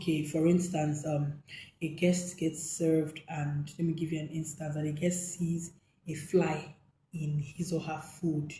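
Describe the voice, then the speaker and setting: Somewhat breathy and dark, mellow in tone, a woman's very deep, low voice moves at a fairly slow pace in a flat, monotone intonation. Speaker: hotel manager and hospitality coach. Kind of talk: tutorial talk to camera. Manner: some hesitations and repetitions.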